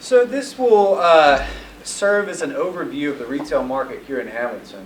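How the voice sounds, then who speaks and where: A man with a Southern US accent at a moderate pace, pitch swinging very widely, with noticeable background noise and audible room echo. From US South (northeast Mississippi). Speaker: retail development consultant. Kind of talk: presentation to audience.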